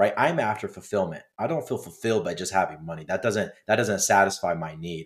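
An unremarkable speaking voice from a man, fairly low in pitch, with lively intonation, in a very clean recording with a silent background. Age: 20s. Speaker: business owner. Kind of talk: interview.

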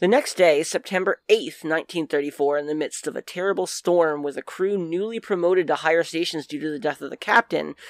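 A woman's fairly low-pitched, plain, everyday voice with an American accent, ordinary pitch variation, a fairly quick pace and hardly any pauses, in a very clean recording with a silent background and a dry, close sound with no echo. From New Jersey. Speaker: podcast co-host, guest presenter on paranormal topics. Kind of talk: reading researched notes; casual chat.

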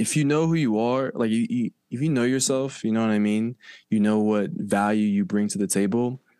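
On a very clean recording with a silent background, a man talks at a moderate pace with medium pitch and very even loudness. It is a normal speaking voice with ordinary pitch variation. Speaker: content creator. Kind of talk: casual interview chat.

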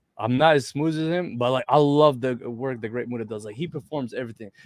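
On a very clean recording with a silent background, a man with an Arabic accent and medium pitch speaks at a fairly quick pace. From Egypt. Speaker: professional wrestler. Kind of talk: casual interview chat.

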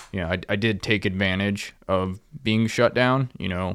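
At a moderate pace, the voice comes through on a very clean recording against a silent background. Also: man. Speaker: fishing charter boat captain. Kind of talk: casual interview chat. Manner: well-spoken.

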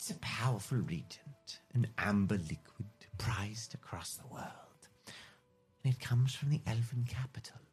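Over music in the background, a man in a put-on character voice drawls at a moderate pace and medium pitch, with long, frequent pauses. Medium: actual play. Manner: theatrical, drawling, calls people darling.

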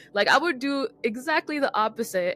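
Over music in the background, a woman speaks with lively intonation. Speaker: podcast host. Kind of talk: casual interview chat.

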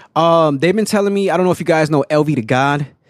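Here is a man's normal speaking voice with an American accent. He talks at a fairly quick pace with ordinary pitch variation, and the sound is dry and close with no echo. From Aurora, Colorado. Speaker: TikTok food creator and performer. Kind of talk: casual chat.

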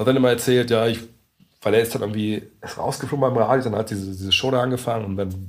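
Here is a man with an ordinary speaking voice at medium pitch. He speaks at a fairly quick pace with fairly even intonation. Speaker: NBA journalist. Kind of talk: casual chat. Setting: meeting room in coworking space.

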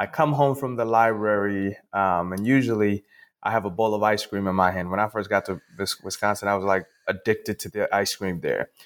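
A man talks fairly quickly at a fairly low pitch with ordinary variation. The recording is very clean, with a silent background. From Ghana. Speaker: sociology professor and author. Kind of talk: interview. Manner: halting, frequent repetitions.

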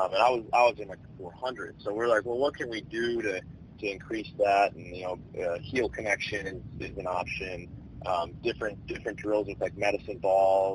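A man with an ordinary speaking voice at a fairly low pitch, moderate pace, fairly even intonation and hardly any pauses. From Chicago area, Illinois. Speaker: minor league baseball player. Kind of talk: casual interview.

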